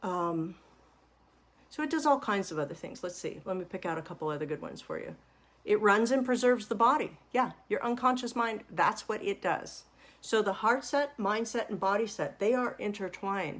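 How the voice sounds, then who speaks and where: A woman with a normal speaking voice talks at a moderate pace, her fairly high pitch carried by lively intonation. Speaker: money mindset coach. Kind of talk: webinar-style lecture.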